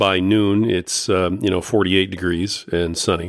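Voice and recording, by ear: On a very clean recording with a silent background, a man with a low pitch speaks at a moderate pace and fairly even intonation.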